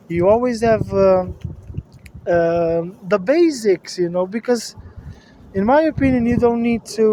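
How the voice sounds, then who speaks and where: Against noticeable background noise, a high-pitched man with a Portuguese accent speaks at a fairly slow pace, with lively intonation and long, frequent pauses. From Portugal. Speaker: personal finance vlogger. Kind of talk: casual monologue. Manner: hesitant, many fillers.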